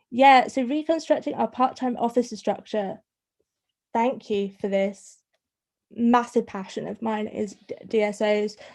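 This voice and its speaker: A woman talks with a northern English accent. Her fairly high pitch shows ordinary variation. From northern England. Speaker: students' union welfare officer. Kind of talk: online talk to students' union officers. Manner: fast; stuttering on some words.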